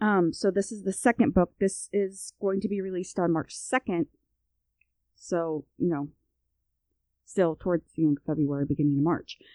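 Speaking with an American accent, the voice is dark and mellow in tone with lively intonation and long, frequent pauses, and the sound is dry and close with no echo. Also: woman, medium pitch for a woman, moderate pace. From US Midwest. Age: 30s. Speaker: podcast co-host. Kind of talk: casual chat.

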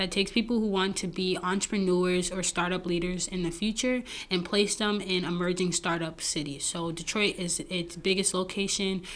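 A woman with a New York accent, medium pitch, fairly even intonation and a moderate pace. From Brooklyn, New York. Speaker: app founder. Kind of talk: interview.

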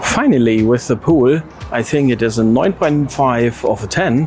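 A man talking at medium pitch is heard over noticeable background noise. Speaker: viewer submitting video. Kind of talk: video tour narration. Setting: outdoors.

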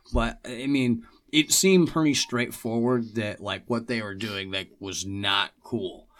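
Here is a man with a normal speaking voice at a medium pitch. He talks at a fairly slow pace with ordinary pitch variation. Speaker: podcast guest. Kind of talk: casual chat. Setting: studio.

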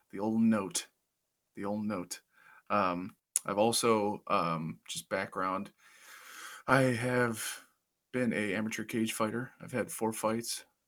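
This man speaks with a Midwestern American accent at a very slow pace, leaving long, frequent pauses. His medium-pitched voice holds fairly even intonation in a very clean recording with a silent background. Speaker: podcast co-host, amateur cage fighter. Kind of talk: casual chat. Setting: home basement.

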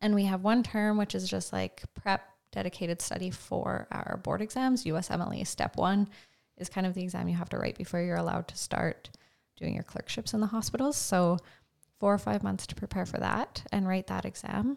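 In a Canadian Prairies accent, a woman talks at a fairly quick pace. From rural Saskatchewan, Canada. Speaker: medical student, former fitness coach. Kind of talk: casual interview.

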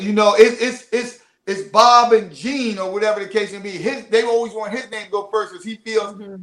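A man with a Philadelphia accent, high-pitched and fairly quick, flat and monotone, big swings in loudness, hardly any pauses. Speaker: marriage coach. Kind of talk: casual interview. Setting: studio.

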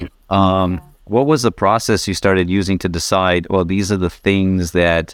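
A man speaks with a very deep, low pitch. His pace is moderate. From Africa. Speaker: podcast co-host. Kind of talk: casual interview.

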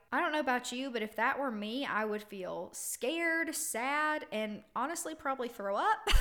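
Over background music, a woman speaks in a high, raised, projected voice with lively intonation and an animated tone. Her pace is moderate, with hardly any pauses. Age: 20s. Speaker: podcast host. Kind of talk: casual monologue.

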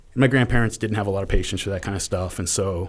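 With a plain, everyday voice, a man talks at a fairly low pitch with ordinary pitch variation. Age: 30s. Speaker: history podcaster. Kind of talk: casual interview.

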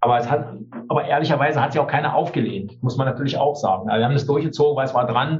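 Talking at a very fast pace, a man has a medium pitch and a somewhat breathy voice. His intonation stays fairly even. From East Germany. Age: 60s. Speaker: teacher and trade unionist. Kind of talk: interview.

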